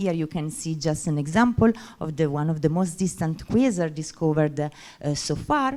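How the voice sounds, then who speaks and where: A woman's dark, mellow voice at a fairly slow pace, with very wide pitch swings. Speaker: astrophysics researcher. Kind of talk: conference presentation. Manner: halting, many fillers.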